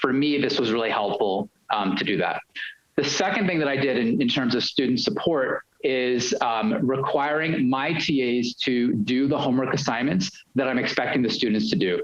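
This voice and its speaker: With a New York accent, a man speaks at a medium pitch, his intonation lively and his loudness very even. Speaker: university lecturer. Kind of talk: panel discussion. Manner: fast.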